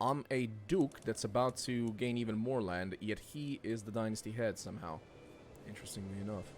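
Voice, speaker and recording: Music plays in the background as a man with a medium pitch and a non-native accent speaks at a fairly quick pace with ordinary pitch variation. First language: not English. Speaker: gaming streamer. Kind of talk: let's play commentary. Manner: casual, hesitant with fillers.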